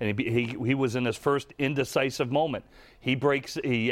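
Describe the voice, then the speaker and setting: A man speaks at a fairly quick pace with a medium pitch. His intonation is fairly even, and he has a plain, everyday voice. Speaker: former NFL quarterback, football analyst. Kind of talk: sports podcast discussion.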